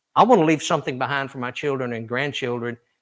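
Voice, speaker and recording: Speaking with a Southern US accent, a man keeps a medium pitch and fairly even intonation. The recording is very clean with a silent background. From US South, Tennessee. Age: 60s. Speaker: country singer. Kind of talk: interview.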